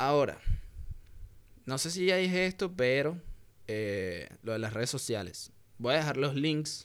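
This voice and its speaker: Heard on a very clean recording with a silent background, a man with a Venezuelan accent speaks with lively intonation. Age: 20s. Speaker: podcaster. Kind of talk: casual monologue.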